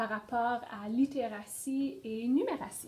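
A high-pitched woman at a fairly slow pace, with ordinary pitch variation. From northern Ontario (Sudbury region). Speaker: pedagogical consultant. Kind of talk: interview.

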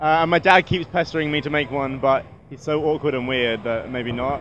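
Speaking fairly quickly with a British accent, a man with a fairly high pitch comes through in a dry sound with no echo and light background noise. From UK. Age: 20s. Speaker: YouTuber. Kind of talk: casual interview. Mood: relaxed, self-deprecating, upbeat. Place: hall. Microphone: handheld.

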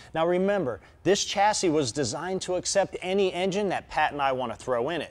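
A man talks at a fairly quick pace. His pitch is high. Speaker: show host. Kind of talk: TV show presentation. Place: workshop.

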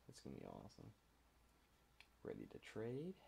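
A dark, mellow tone with vocal fry at a moderate pace. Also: man. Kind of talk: casual screen-recording commentary. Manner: casual, hesitant.

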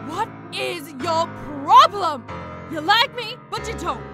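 A woman's cartoonish character voice, extremely high-pitched and bright and sharp in tone, slow with lively intonation over faint background music

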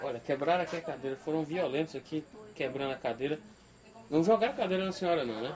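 A man with a fairly high voice talks at a very fast pace over light background noise. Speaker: TV reporter. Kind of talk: TV news field report. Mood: indignant, appalled. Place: home room.

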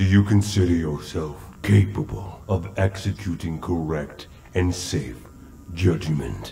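Very deep, low male voice at a fairly slow pace, with clear background noise. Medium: short film.

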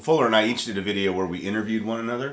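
A man is talking. Audible room echo surrounds his voice. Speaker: worship leader and channel host. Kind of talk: casual live stream chat about music gear. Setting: live stream studio. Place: studio.

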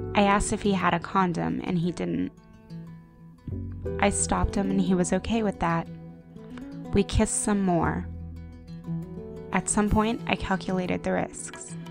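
Music plays in the background as the speaker, in an American accent, goes at a moderate pace with long, frequent pauses. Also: woman. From United States (Japanese American). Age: young. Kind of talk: personal digital story voiceover. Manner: reflective, quiet.

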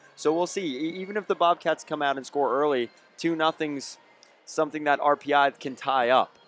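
In an ordinary speaking voice, a man with fairly high pitch talks at a moderate pace with fairly even intonation and a dry, close sound with no echo. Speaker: color commentator. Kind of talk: live sports commentary. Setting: broadcast booth at arena. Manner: conversational, analytical, measured color commentary between plays.

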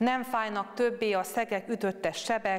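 A woman at a very slow pace against a quiet background. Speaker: speaker. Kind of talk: scripture reading and meditation. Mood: calm, solemn. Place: church. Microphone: lapel.

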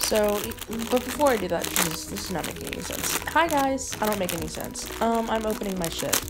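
A woman talking at a fairly quick pace over loud background noise. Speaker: vlogger. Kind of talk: casual vlog chat. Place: home room. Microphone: phone near.

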